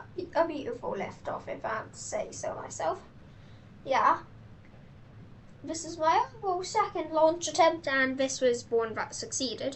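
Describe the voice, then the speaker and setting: Against noticeable background noise, someone with a British accent speaks at a moderate pace, with very wide pitch swings, big swings in loudness and long, frequent pauses. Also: woman, extremely high pitch for a woman. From Britain. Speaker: gaming youtuber. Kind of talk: gameplay commentary. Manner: hesitant, many fillers.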